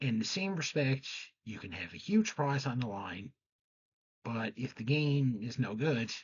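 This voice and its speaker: Soft-spoken, somewhat breathy male voice with lively intonation. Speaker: game show history presenter. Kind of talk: scripted commentary.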